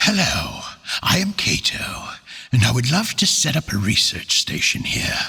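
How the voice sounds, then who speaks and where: The man uses a put-on character voice pitched fairly high. His pace is moderate. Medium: read story. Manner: polite, formal.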